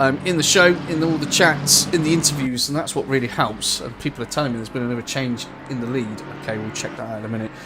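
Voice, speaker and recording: Music plays in the background as a man talks very fast at a medium pitch with ordinary pitch variation, and the room echo is audible. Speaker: sim racing commentator. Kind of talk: live commentary. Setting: live stream.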